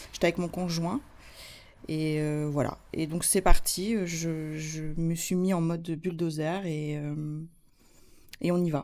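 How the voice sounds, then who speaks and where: A woman's fairly low voice, dark and mellow in tone, at a very slow pace with fairly even intonation and long, frequent pauses. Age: 40s. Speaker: cancer survivor, association vice-president. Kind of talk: testimony. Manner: halting.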